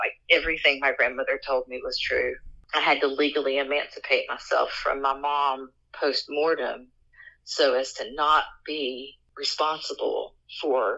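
The speaker talks at a fairly slow pace with an Appalachian accent. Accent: Appalachian American. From West Virginia, Appalachia. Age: 40s. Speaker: folklore content creator and sociologist. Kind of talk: interview storytelling.

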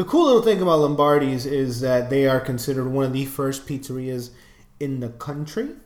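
With a New York accent, a man speaks at a fairly quick pace in a fairly high pitch, showing ordinary pitch variation amid audible room echo. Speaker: podcast co-host. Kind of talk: casual chat.

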